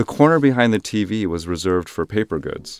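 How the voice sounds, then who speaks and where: A man's fairly low-pitched, normal speaking voice with an American accent, lively intonation and a fairly quick pace, in a dry, close sound with no echo. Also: very clean recording, silent background. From US, Korean American family. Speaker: writing student. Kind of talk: reading aloud.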